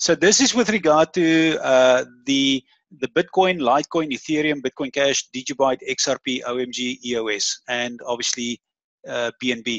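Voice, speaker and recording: A man's fairly high voice at a moderate pace with ordinary pitch variation. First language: not English (English is third language). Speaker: crypto trading webinar host. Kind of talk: webinar presentation. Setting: online webinar with screen share.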